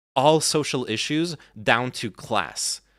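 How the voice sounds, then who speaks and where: A man is talking. Recorded very cleanly, the clip has a silent background. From France (born in US, moved at five). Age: 30s. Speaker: political commentary streamer. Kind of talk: live stream chat. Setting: live stream. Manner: halting, many restarts.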